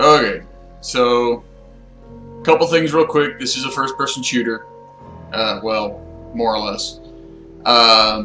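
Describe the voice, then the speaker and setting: Over clear background music and audible room echo, a man talks at a fairly slow pace with long, frequent pauses. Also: ordinary pitch variation. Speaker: game streamer. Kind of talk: casual stream chat.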